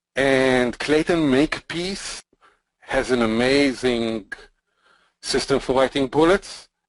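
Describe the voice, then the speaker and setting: Recorded in a dry, close sound with no echo, a man with a non-native accent speaks very slowly at medium pitch with ordinary pitch variation. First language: not English. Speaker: podcast co-host, marketer. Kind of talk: casual chat.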